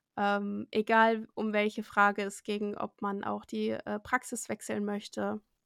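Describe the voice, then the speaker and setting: A fairly high-pitched woman's voice, dry and close with no echo, on a very clean recording against a silent background. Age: 20s. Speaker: medical assistant. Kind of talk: interview.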